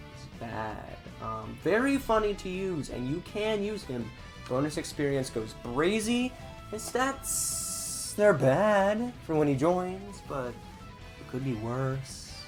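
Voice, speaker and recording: The words come out very slowly, with music heard behind them. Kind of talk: casual gaming commentary.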